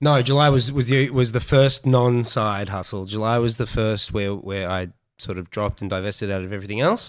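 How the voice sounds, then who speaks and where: A man with an Australian accent in a very clean recording with a silent background. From Australia, Melbourne. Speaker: entrepreneur. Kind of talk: casual chat.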